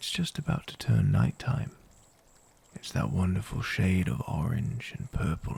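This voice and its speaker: Soft-spoken, a man talks at a fairly slow pace. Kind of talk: ASMR story narration.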